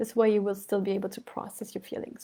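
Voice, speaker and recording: In a dark, mellow tone, a woman talks at a fairly quick pace. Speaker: yoga and healing teacher. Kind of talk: online masterclass livestream. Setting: live stream. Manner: fast; animated.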